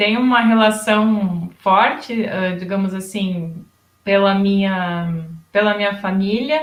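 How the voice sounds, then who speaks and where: A German accent at a very slow pace, with ordinary pitch variation and audible room echo. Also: woman, medium pitch for a woman. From Rio Grande do Sul, Brazil (German-descendant community). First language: German dialect (speaking Portuguese). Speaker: education professor. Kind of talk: interview.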